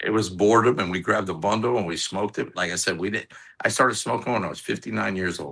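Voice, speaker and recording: Talking at a very fast pace, a man with an American accent has a very deep, low pitch, ordinary pitch variation and a bright, sharp tone. Vocal fry runs through his voice over a quiet background. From Orlando, Florida. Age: 60s. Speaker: cigar maker. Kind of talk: casual chat.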